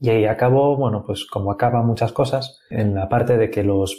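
A somewhat breathy man's voice, dark and mellow in tone, with fairly even intonation. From Asturias, Spain. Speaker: software developer. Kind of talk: interview.

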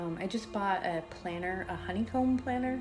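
A woman speaks at a moderate pace while music plays clearly behind her. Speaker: spiritual content creator. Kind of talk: casual vlog chat. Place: home room.

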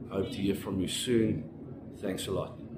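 Noticeable background noise can be heard. The man talks at a moderate pace. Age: 30s. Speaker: job applicant, panel beater. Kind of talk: self-introduction video for job application. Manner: halting. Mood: earnest, polite. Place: home room. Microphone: phone near.

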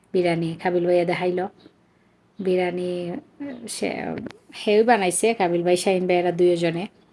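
Over noticeable background noise, a woman with a Sylheti accent speaks at a fairly low pitch in a monotone, flat intonation. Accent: Sylheti Bengali. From Bangladesh, Sylhet (Chunarughat). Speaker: vlogger, mother. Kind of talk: casual vlog narration.

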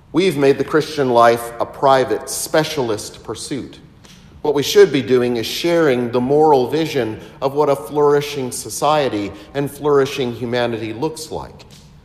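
With ordinary pitch variation, the man speaks at a moderate pace. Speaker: priest. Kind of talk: sermon. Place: church.

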